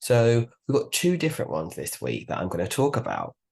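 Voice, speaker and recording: Against a quiet background, a man with a medium pitch speaks in a somewhat breathy voice. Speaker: beauty podcast host. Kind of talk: casual podcast monologue.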